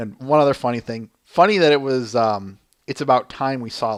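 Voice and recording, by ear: Over a quiet background, the text is read aloud in a natural voice whose pitch moves in an ordinary way.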